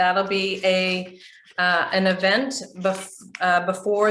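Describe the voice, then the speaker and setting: A woman with a Canadian accent speaks at a medium pitch in a bright, sharp tone, with audible room echo around her. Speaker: business trainer, chamber of commerce president. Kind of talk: training session.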